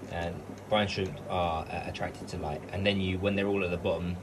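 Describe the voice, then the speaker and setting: A man's voice against noticeable background noise. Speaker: aquarium hobbyist vlogger. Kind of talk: casual vlog tutorial. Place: home room. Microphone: phone near.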